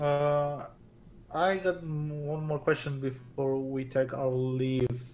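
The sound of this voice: Slow and fairly high for a man, his slightly mellow voice shows little pitch movement and has audible room echo.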